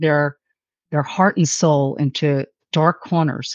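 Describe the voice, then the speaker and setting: A woman speaks with a New York accent. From New York City. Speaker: author. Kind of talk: interview. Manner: animated.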